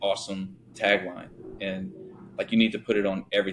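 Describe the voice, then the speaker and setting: A man speaks with a slight Louisiana accent. His pitch is fairly low. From Louisiana (born Thibodaux, raised Shreveport). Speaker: business owner, company founder. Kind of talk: interview conversation. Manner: casual, many filler words.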